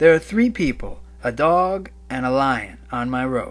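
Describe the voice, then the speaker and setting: Clear music plays behind a man doing a put-on character voice. His pitch is medium. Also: moderate pace. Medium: read story. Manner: imperious, harsh.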